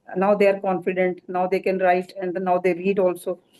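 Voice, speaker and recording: Her dark, mellow tone sits at a medium pitch as this woman speaks with an Indian accent. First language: Hindi. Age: 70s. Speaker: doctor. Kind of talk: award acceptance speech.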